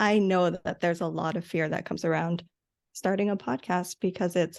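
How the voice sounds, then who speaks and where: A woman's fairly low voice with an American accent, monotone and flat, over a quiet background. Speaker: podcast manager. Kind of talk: interview.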